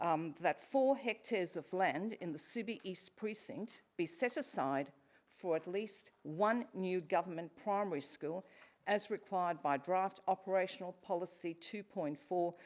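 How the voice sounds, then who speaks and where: A woman speaks with an Australian accent. She goes at a fairly slow pace. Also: medium pitch for a woman, ordinary pitch variation. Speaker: member of the public asking questions at council meeting. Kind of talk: formal public question time. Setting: council chambers.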